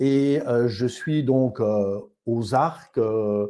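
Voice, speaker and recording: Against a quiet background, a man with a Belgian accent speaks at a medium pitch, with ordinary pitch variation and a dark, mellow tone. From Belgium (Namur area). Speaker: osteopath. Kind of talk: testimony.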